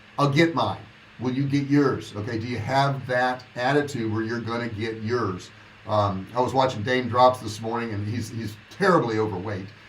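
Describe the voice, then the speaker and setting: Audible room echo surrounds a man talking at a moderate pace and medium pitch with ordinary pitch variation. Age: 60s. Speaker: online business coach. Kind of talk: livestream monologue. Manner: casual, conversational.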